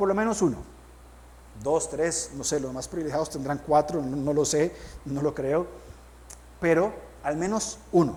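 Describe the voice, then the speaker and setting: With a fairly high pitch and ordinary pitch variation, a man talks at a fairly slow pace. Long, frequent pauses and audible room echo mark the clip. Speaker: pastor. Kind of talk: sermon.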